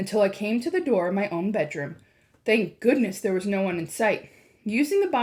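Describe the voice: The voice reads plainly aloud with lively intonation.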